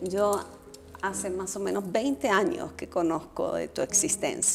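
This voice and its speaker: The speaker talks fairly slowly, with music in the background. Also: woman. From Colombia. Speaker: political scientist and former vice foreign minister. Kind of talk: casual conversation.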